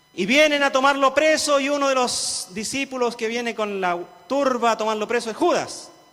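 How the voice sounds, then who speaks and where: Over noticeable background noise, a man with an extremely high pitch for a man speaks at a moderate pace and varies his pitch in an ordinary way. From rural central-southern Chile (Cauquenes area). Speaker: pastor. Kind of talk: sermon.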